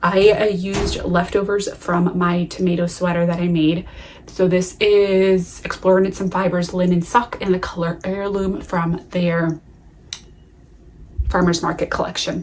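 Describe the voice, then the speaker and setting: A woman's fairly low voice in an American accent, fairly slow and monotone with flat intonation, over noticeable background noise. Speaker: knitting podcaster. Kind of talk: casual chat.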